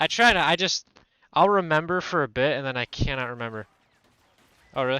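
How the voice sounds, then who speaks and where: A man's mumbling voice, bright and sharp in tone, with lively intonation at a moderate pace and a dry, close sound with no echo. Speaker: video game streamer. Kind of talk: casual live-stream commentary while gaming. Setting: live stream. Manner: low-energy.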